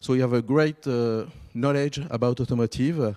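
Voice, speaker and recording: The voice has a dark, mellow tone and a French accent, with fairly even intonation. The sound is dry and close with no echo, in a very clean recording with a silent background. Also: man. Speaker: event organizer. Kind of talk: event introduction. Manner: halting.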